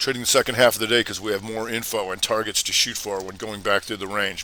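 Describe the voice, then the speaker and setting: Noticeable background noise sits behind a man's voice. He speaks with a fairly low pitch and monotone, flat intonation. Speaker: trading educator. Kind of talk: live Q&A webinar. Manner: casual; fast.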